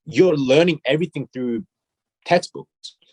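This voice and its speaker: Here a man speaks with an Australian accent. He keeps a moderate pace and ordinary pitch variation. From South Korea, raised partly in Australia. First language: Korean. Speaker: fashion brand CEO and designer. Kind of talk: interview. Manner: hesitant, repeats words.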